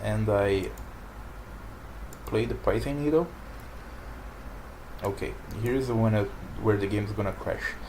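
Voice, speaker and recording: Spoken at a moderate pace in a non-native accent with long, frequent pauses, the clip carries noticeable background noise and audible room echo. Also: man. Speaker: card game player and commentator. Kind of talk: gameplay commentary. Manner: halting. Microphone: poor microphone.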